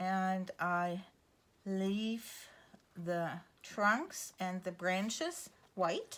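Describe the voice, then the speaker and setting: A woman with a German accent speaks in a relaxed tone at a very slow pace. Her intonation is fairly even, and she takes long, frequent pauses. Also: medium pitch for a woman. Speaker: art teacher. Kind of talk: tutorial. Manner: relaxed, with fillers.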